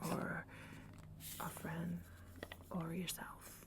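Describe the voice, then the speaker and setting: Soft-spoken and calm in tone, the voice comes through over noticeable background noise. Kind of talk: ASMR roleplay, soft-spoken comforting talk to camera. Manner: soft-spoken, calm, reassuring.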